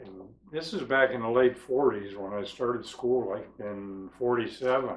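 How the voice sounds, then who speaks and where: A man speaks very slowly with an American accent. Noticeable background noise runs under the recording. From western Pennsylvania / Youngstown, Ohio area. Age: 70s. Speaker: documentary interviewee. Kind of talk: life story interview.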